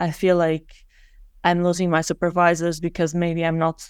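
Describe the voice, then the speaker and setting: A woman with a non-native accent, fairly low in pitch and fairly quick in pace, on a very clean recording with a silent background. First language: not English. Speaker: PhD student in biochemistry. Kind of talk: interview. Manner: halting, frequent restarts.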